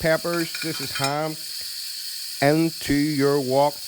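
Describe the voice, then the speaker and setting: There is noticeable background noise as a man with an Irish accent speaks at a fairly high pitch. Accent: Irish, fast. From Ireland. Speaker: cooking youtuber. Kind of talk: cooking tutorial. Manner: fast; animated, informal.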